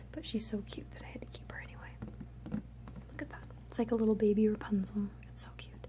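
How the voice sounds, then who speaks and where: A soft-spoken woman with an American accent, noticeable background noise behind her. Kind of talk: ASMR show and tell, casual talk to camera.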